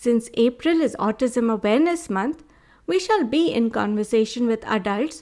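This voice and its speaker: A woman speaks at a high pitch and a moderate pace. Her pitch swings very widely. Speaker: podcast host. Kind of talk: podcast intro.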